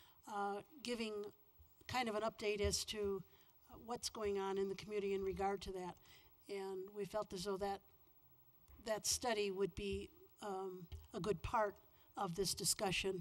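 A woman speaks at a moderate pace in a monotone, flat intonation, with long, frequent pauses. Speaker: council member. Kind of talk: meeting discussion. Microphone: podium.

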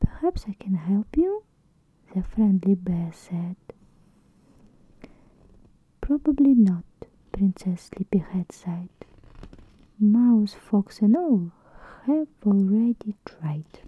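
The speaker is soft-spoken and very slow, with long, frequent pauses. The sound is dry with no echo. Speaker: storybook reader. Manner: soft, hushed bedtime-story reading. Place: home room. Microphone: phone near.

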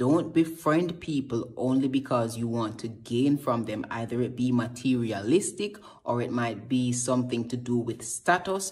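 At a moderate pace, a man talks in an animated tone. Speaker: social media comedian. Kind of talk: comedic monologue. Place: home room. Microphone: phone near.

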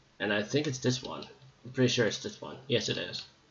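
A man talks at a fairly low pitch with a fairly bright tone, and audible room echo surrounds his voice.

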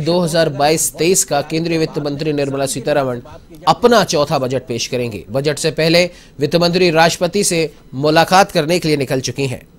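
A man with a fairly high voice speaks at a fairly slow pace, with ordinary pitch variation. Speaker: news anchor. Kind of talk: news reading. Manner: brisk, formal, even newsreader delivery. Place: studio.

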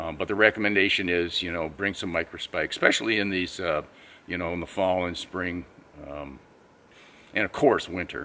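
Bright and sharp in tone, a man's very deep, low voice moves at a moderate pace. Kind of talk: casual vlog chat. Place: forest. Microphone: camera far.

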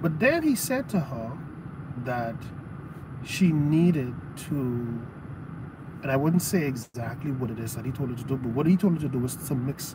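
With long, frequent pauses, a man talks at a moderate pace and with ordinary pitch variation, the sound dry with no echo but with noticeable background noise. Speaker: preacher or teacher. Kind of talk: sermon-style teaching to a live audience. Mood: relaxed, earnest. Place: car. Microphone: phone near.

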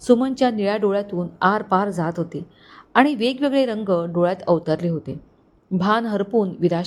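A passage is read aloud in a natural voice.

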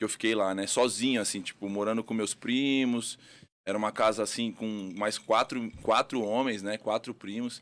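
Speaking at a moderate pace, a man holds a medium pitch in a flat, monotone delivery. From Rio Grande do Sul, Brazil (Porto Alegre); Rio Grande do Sul, Brazil. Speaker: boxing coach. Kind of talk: casual interview. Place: studio. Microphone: studio mic.

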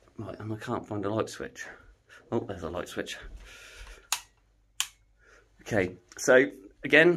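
A man is heard over light background noise. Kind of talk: walking tour commentary. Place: hall. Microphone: phone near.

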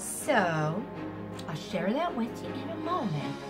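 Music is clearly heard in the background. Over it comes a woman's voice. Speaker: amateur poet. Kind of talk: casual talk to camera. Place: home room. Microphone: camera far.

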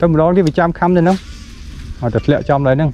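The pace is fast. The tone is dark and mellow. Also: man, fairly high pitch for a man, ordinary pitch variation.

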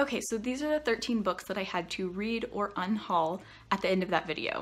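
This is a woman speaking. Her tone is bright and sharp. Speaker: book vlogger. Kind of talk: casual vlog chat. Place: home room. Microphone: phone near.

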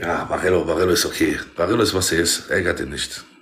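This man's voice is very deep and low. He speaks very fast. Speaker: TikTok live streamer. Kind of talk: casual live-stream chat. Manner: excitable. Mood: mocking, provocative. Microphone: phone near.

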